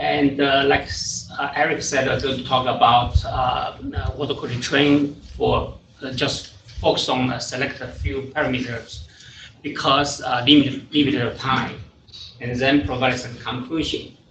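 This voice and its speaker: Noticeable background noise and audible room echo accompany a man at medium pitch who speaks at a moderate pace with fairly even intonation. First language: not English (third language). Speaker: water quality scientist. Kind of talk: technical presentation. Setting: presentation to an audience. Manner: halting, many fillers.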